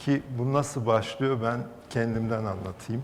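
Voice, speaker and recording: A man speaks with a Turkish accent at a fairly slow pace. His pitch is medium and his intonation fairly even. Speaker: art collector. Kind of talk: panel discussion.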